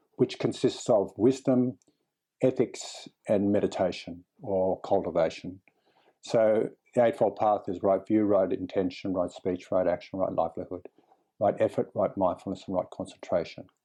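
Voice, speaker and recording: Behind the speaker, the background stays quiet. He is a man talking at a moderate pace. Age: 60s. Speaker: clinical psychologist and meditation teacher. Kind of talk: interview conversation. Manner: relaxed, calm.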